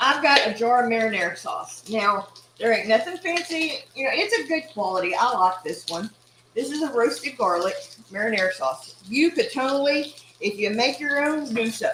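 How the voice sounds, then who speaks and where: A woman's high voice in an East Texas accent, very wide pitch swings, moderate pace and noticeable background noise. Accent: East Texas Southern US. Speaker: cooking channel host. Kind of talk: casual cooking livestream.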